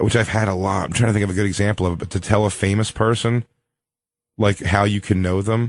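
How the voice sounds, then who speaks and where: A man with a Philadelphia accent speaks at a very fast pace in a fairly low pitch. His intonation is monotone and flat, and the background is quiet. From US Northeast, Philadelphia. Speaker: comedian. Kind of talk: casual chat.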